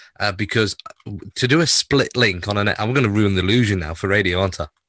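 A man's fairly low voice with a bright, sharp tone and lively intonation over a quiet background. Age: 40s. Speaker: radio presenter and podcast co-host. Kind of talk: casual chat.

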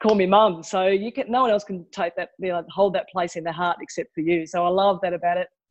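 A woman talks at a fairly quick pace with an Australian accent. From Tasmania, Australia. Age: 50s. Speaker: podcast guest, mother. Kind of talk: casual interview chat.

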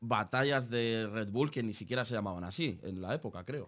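At a moderate pace, a man talks in an ordinary speaking voice with ordinary pitch variation, recorded very cleanly against a silent background. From Spain, Aranjuez (south Madrid). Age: 20s. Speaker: podcast and stream host. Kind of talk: casual interview.

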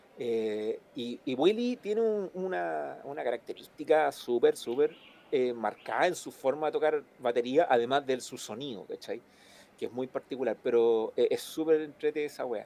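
This man's voice has a dark, mellow tone and a fairly high pitch, with lively intonation, a moderate pace and big swings in loudness. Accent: Chilean. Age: 40s. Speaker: musician and sound engineer. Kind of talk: casual interview. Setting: live stream.

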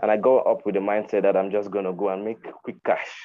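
At a very fast pace, a man talks with a Nigerian accent. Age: 20s. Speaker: podcast host, virtual assistant. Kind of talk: casual chat. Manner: halting.

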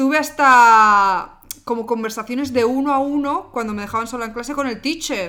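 Her voice high in pitch, a woman speaks with a bright, sharp tone. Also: ordinary pitch variation, moderate pace. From Pamplona, Navarre, Spain. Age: 20s. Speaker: podcast co-host. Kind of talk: casual chat. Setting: at home.

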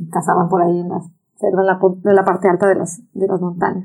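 An animated woman talks with a Mexican accent. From Mexico, Acapulco. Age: 50s. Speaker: environmental activist. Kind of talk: interview. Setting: office.

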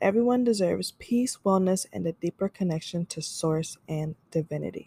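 Somewhat breathy with a dark, mellow tone, a woman speaks upbeat at a moderate pace and medium pitch, with ordinary pitch variation, in a dry, close sound with no echo. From Florida, US. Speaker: podcast host and business owner. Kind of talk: casual solo podcast monologue, intro. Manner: upbeat, friendly.

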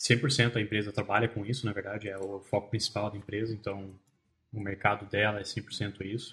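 This man speaks at a fairly low pitch. His intonation is monotone and flat. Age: 20s. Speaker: back-end software developer. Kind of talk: podcast interview. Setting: studio.

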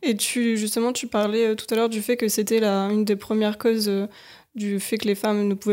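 In a very clean recording with a silent background, a woman with a dark, mellow tone and a fairly high pitch speaks at a fairly quick pace. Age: 20s. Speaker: podcast host. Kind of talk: interview.

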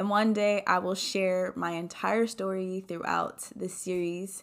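A woman of medium pitch talks at a fairly slow pace in an animated tone, with ordinary pitch variation. The recording is very clean, with a silent background. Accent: American. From US Mid-Atlantic (DC area). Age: 20s. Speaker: podcast host. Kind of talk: monologue podcast.

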